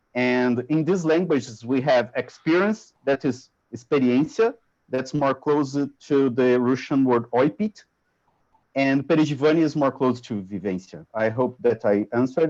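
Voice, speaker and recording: Speaking with a Portuguese accent, a man talks at a moderate pace with lively intonation. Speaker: researcher. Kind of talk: academic Q&A discussion. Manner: halting.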